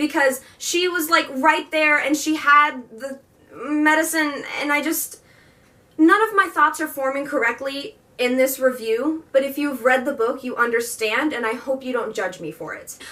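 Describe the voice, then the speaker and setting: Over noticeable background noise, a woman with a high pitch speaks in a raised, projected voice at a fairly slow pace, with ordinary pitch variation. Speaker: book reviewer. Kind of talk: casual book review vlog. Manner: animated.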